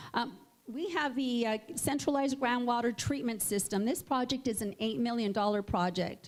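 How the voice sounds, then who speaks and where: Speaking at a moderate pace with lively intonation, the voice holds a very even loudness over noticeable background noise. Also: woman, high pitch for a woman. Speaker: mayor. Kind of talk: public speech.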